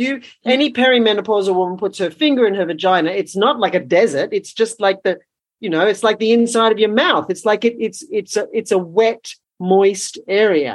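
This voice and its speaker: A woman's ordinary speaking voice, medium in pitch, with ordinary pitch variation and a fairly quick pace. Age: 60s. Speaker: women's rites of passage teacher and former midwife. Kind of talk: casual chat.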